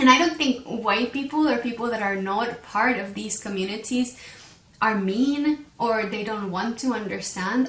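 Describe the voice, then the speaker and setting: Over noticeable background noise, a woman with a Spanish accent speaks at a fairly high pitch. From Mexico. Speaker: podcast host, crochet designer. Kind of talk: casual podcast monologue. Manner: hesitant, many fillers and repetitions.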